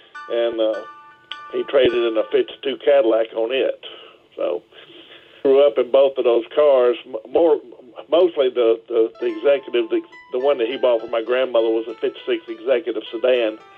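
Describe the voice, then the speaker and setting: A man speaks with long, frequent pauses over music in the background. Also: moderate pace. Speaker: Packard collector. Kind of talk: interview answer, storytelling.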